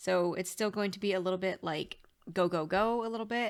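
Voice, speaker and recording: A woman with a medium-pitched voice and ordinary pitch variation is heard in a very clean recording with a silent background. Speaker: tarot reader. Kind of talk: casual talk to camera.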